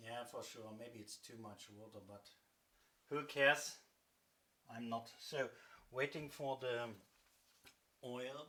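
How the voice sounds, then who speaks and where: Very slowly and with long, frequent pauses, a man with a German accent speaks at a medium pitch in a bright, sharp tone, keeping a fairly even intonation while his loudness swings widely. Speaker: cooking vlogger. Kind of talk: cooking tutorial. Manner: halting.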